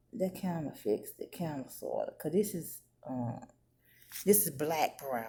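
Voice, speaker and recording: A quiet woman's voice with a dark, mellow tone and vocal fry, at a fairly slow pace. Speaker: beauty vlogger. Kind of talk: makeup tutorial. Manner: halting.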